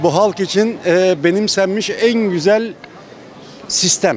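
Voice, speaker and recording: Over light background noise, a man's high-pitched voice comes through with a dry sound and no echo. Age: 60s. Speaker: street interviewee; interviewee. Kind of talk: street interview. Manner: sarcastic. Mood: critical, animated political opinion. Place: street. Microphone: handheld.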